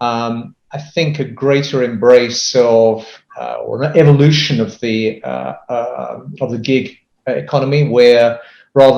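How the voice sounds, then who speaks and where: A man at a medium pitch, with a British accent and fairly even intonation. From UK. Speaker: business consultant. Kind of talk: interview. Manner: hesitant, many fillers.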